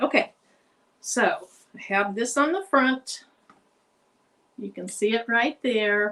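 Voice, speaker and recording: In an American accent, the voice moves at a very slow pace with long, frequent pauses and lively intonation. Its tone is bright and sharp, with big swings in loudness. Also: woman, fairly high pitch for a woman. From Arkansas. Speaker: crafter streaming a craft tutorial. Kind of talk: live craft tutorial and chat. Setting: live stream from home craft room. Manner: casual, chatty.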